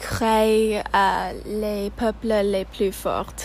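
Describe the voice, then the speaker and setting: A woman with an English accent speaks at a very slow pace. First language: English (speaking French). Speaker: student podcast host. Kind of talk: casual interview.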